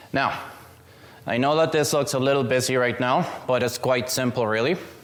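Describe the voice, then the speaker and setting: A man with a non-native accent speaks at medium pitch and a moderate pace, his intonation fairly even and his loudness very even. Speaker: student presenter. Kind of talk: seminar presentation. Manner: casual, joking.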